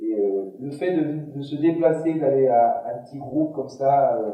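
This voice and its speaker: Audible room echo on a man's speech, his pitch varying in an ordinary way. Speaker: gym instructor for seniors. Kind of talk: conference talk. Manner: halting, with many repetitions and fillers.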